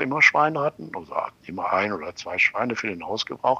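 In a dry, close recording with no echo, a man talks very fast with lively intonation. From Lower Rhine, western Germany. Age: 80s+. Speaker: retired architect. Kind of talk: interview, personal recollections. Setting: phone call. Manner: halting, with repetitions.

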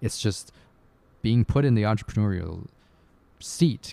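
A man at a fairly slow pace, dry and close with no echo, in a very clean recording over a silent background. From Canada. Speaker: podcast co-host. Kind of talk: casual book discussion.

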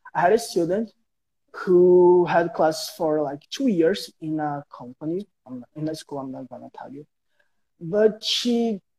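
The voice has a dark, mellow tone and a Brazilian accent, with ordinary pitch variation. The pace is fairly slow, and the sound is dry and close with no echo. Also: man. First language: Portuguese. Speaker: guest English learner. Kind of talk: casual interview. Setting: Instagram live stream. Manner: halting.

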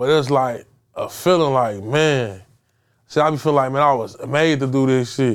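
Medium in pitch, a man speaks with ordinary pitch variation. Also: moderate pace, very clean recording, silent background. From Chicago, South Side (Englewood). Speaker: DJ and music producer. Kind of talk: casual interview. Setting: studio.

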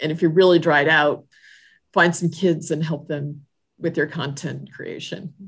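A woman with an American accent speaks at a very deep, low pitch, somewhat breathy, in a monotone, flat intonation. Her fairly slow delivery is captured in a very clean recording with a silent background. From Southern California. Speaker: church leader. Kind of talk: casual interview.

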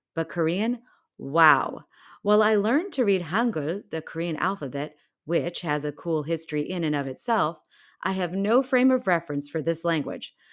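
An ordinary speaking voice from a woman, fairly low in pitch with lively intonation and a moderate pace, on a very clean recording with a silent background. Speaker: podcast host. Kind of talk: scripted narration.

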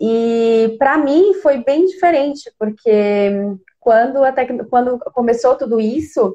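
At a fairly slow pace, a high-voiced woman talks with ordinary pitch variation. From Brazil, Criciúma, Santa Catarina. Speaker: digital influencer and robotics teacher. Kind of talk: casual interview.

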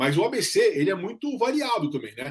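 A man's somewhat breathy voice at a moderate pace, with very wide pitch swings. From São Paulo state, ABC region (São Bernardo do Campo). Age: 40s. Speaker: journalist and content creator. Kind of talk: casual chat. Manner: hesitant, many fillers and repetitions.

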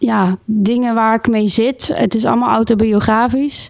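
A fairly high-pitched woman with a normal speaking voice at a fairly slow pace, her intonation fairly even. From Gelderland, Netherlands (Groesbeek). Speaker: singer-songwriter. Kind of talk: interview.

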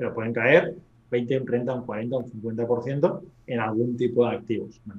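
This man's voice sits at medium pitch and sounds somewhat breathy. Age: 30s. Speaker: real estate investor. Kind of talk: interview.

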